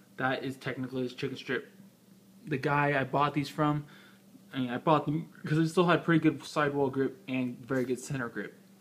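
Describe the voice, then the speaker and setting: A man mumbles at a fairly quick pace. His pitch sits fairly high, and his intonation stays fairly even. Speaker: motorcycle rider. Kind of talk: casual tutorial. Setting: indoors. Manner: mumbling; halting.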